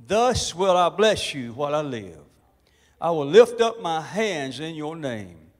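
A man's fairly slow speech plays out over a quiet background. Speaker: pastor. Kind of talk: sermon. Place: church. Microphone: handheld.

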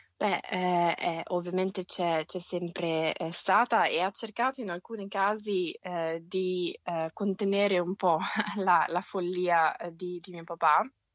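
A woman's medium-pitched voice at a very slow pace, with fairly even intonation. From Milan, northern Italy. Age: 30s. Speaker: scientist and author. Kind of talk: interview.

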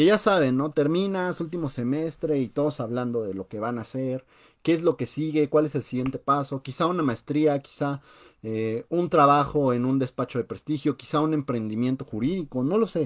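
With a Mexican accent, a man speaks in an animated tone at a moderate pace over a quiet background. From Mexico. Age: 20s. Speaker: personal finance youtuber. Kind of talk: live radio talk on finance. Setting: live stream. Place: home room. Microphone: webcam.

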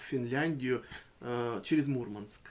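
A man speaks in a normal speaking voice. His pace is fairly slow and his intonation fairly even. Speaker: poet and reciter. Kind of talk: casual explanatory talk to the audience. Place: home room.

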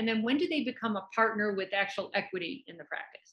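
Against a quiet background, the speaker keeps a moderate pace with lively intonation. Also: woman. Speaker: business consultant to plastic surgeons. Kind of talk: podcast interview host. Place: office. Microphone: video call.

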